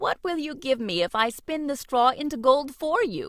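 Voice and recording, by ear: In a croaky, high-pitched put-on character voice, the speaker goes at a moderate pace.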